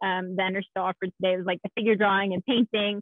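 A woman speaks against a quiet background, with a dry sound and no echo. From Texas, San Antonio. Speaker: game industry technical art director. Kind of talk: panel discussion. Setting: video call. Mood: friendly, smiling.

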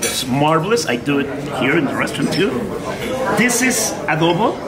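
Loud background noise fills the clip. The speech moves at a moderate pace. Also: man. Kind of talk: explaining dishes to guests. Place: cafe.

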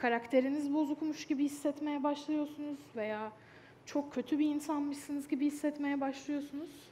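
The voice has a dark, mellow tone over light background noise. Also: woman. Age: young. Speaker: speaker. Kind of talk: stage talk. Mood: earnest, calm. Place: stage.

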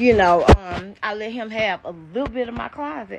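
A woman's fairly slow speech comes through with distinct background noise. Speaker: live streamer. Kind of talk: casual vlog chat. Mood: animated, gossipy. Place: garage. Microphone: phone near.

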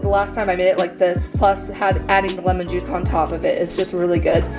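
Clear music plays in the background. A woman speaks at a fairly quick pace over it. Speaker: home vlogger. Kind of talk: casual vlog chat. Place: kitchen. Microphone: phone near.

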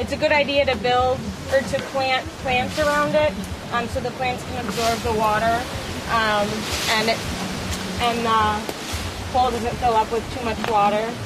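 With long, frequent pauses at a moderate pace, the speech sounds dry with no echo over loud background noise. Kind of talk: casual explanation to camera. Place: garden.

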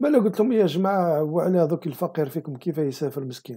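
Speaking at a fairly quick pace in an Algerian accent, a man with a fairly high pitch and a dark, mellow tone uses ordinary pitch variation against a quiet background. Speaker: political commentary video host. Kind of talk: monologue commentary. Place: home room. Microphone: webcam.

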